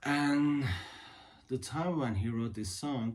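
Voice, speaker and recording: Speaking with a Turkish accent, a man uses lively intonation at a very slow pace. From Turkey. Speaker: guitarist and music video creator. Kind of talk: casual talk to camera about music history. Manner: halting, many fillers.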